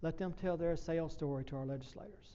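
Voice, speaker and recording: In a room with audible echo, a man speaks in a high-pitched, dark, mellow voice with fairly even intonation. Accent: Southern US. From US South. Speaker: professor. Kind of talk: presentation. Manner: fast.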